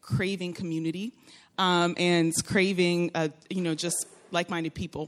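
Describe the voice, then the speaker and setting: Woman with an American accent, fairly low in pitch, at a moderate pace. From Florida. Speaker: churchgoer sharing testimony. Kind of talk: testimony. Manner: animated.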